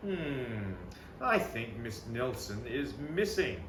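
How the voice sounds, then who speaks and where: Through loud background noise, a man with a medium pitch uses a put-on character voice at a very slow pace. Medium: read story. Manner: slow, pondering.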